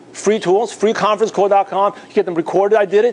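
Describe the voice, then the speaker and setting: A man with a New York accent talks very fast in a high voice over noticeable background noise. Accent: New York American English. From New York (Bay Ridge, Brooklyn). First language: Mandarin/Cantonese (learned English alongside Cantonese). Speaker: network marketing trainer. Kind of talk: motivational seminar talk.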